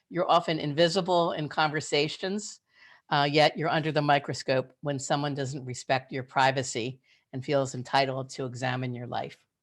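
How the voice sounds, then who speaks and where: This woman's voice sits very deep and low, and she speaks at a moderate pace. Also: fairly even intonation. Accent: American. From Philadelphia, US. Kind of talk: webinar presentation. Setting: video call.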